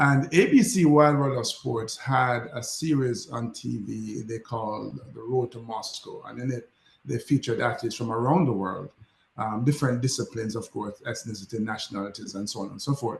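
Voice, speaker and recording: The voice carries vocal fry and big swings in loudness. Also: man, medium pitch for a man, ordinary pitch variation, moderate pace. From Jamaica, Kingston. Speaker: former Olympic athlete and motivational speaker. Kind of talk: interview. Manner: animated.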